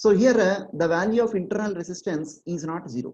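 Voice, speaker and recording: Lively in intonation, a woman speaks in a fairly low voice with a dark, mellow tone. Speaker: online exam-prep teacher. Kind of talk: online lecture.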